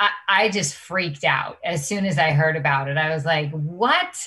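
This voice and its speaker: Against a quiet background, a woman speaks with a bright, sharp tone and lively intonation. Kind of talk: interview answer. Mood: enthusiastic, smiling. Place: home room. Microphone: webcam.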